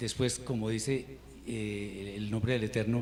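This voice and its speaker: A man's fairly low, fairly even voice with vocal fry, at a fairly slow pace, with audible room echo. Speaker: Hebrew teacher. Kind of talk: lecture. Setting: online class.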